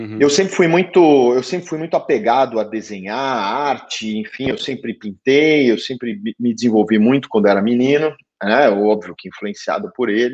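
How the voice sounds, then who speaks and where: This man's voice sits at medium pitch and has lively intonation. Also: moderate pace. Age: 40s. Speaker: entrepreneur, business executive. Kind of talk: interview conversation. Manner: halting, repeats words.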